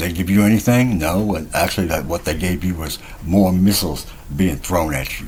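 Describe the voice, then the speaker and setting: A man talks at a fairly quick pace in a very deep, low pitch with ordinary pitch variation. Audible room echo and noticeable background noise are present. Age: 60s. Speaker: self-styled spiritual teacher vlogger. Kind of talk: casual monologue vlog. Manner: rambling with hesitations.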